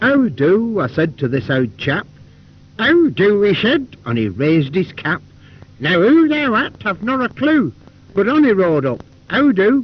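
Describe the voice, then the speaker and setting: A man with a Lancashire accent speaks at a fairly slow pace in a high pitch, his voice making very wide pitch swings. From Lancashire, Wigan. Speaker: actor. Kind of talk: poetry reading.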